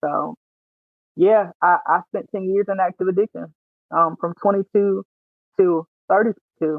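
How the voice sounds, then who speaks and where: A woman speaks at a moderate pace with a Louisiana accent, her pitch sitting in the middle of the range. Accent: Southern US, rural Louisiana. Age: 30s. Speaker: military veteran and author. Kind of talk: testimony.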